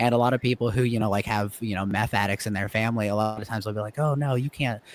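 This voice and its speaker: A man speaks very fast with an American accent. The sound is dry and close, with no echo. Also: very clean recording, silent background. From United States. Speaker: comedian. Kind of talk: casual chat.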